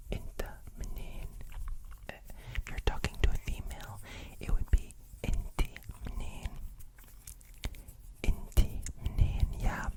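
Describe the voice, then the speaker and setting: A man whispers in a calm tone at a very slow pace, with long, frequent pauses. His loudness swings a lot, and there is noticeable background noise. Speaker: language teacher. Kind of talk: ASMR language lesson. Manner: whispered, calm.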